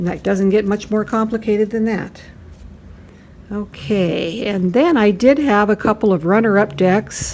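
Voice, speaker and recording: Over noticeable background noise, a woman speaks fairly slowly in an animated tone. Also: medium pitch for a woman, ordinary pitch variation. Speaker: tarot YouTuber. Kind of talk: casual video review.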